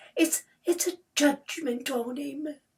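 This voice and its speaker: A female-sounding put-on character voice, pitched high. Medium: read story. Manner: hesitant, eager to agree.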